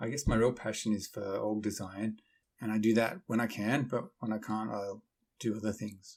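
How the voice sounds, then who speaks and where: A man with a slight Australian accent and fairly low pitch is heard on a very clean recording over a silent background. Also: fairly even intonation, moderate pace. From Sydney, Australia. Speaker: methodology founder, software developer. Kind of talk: podcast interview.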